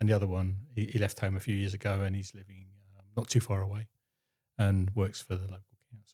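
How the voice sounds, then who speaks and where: A man speaks very fast at a fairly low pitch with a dark, mellow tone, somewhat breathy and monotone with flat intonation. His loudness swings widely on a very clean recording with a silent background. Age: 60s. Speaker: husband of a woman in menopause. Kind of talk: interview. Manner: halting.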